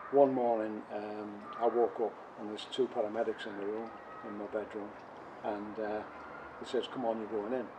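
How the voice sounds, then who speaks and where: A man talks fairly quickly, his fairly low voice delivered in a monotone, flat intonation. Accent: Teesside. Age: 70s. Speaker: covid survivor. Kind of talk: personal testimony interview. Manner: hesitant, many fillers.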